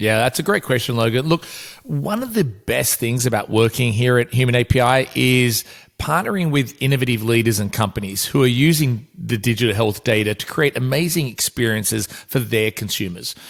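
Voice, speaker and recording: At a fairly quick pace, a man with an Australian accent talks at a medium pitch with ordinary pitch variation. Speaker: podcast host and business executive. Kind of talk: podcast interview. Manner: hesitant with frequent fillers.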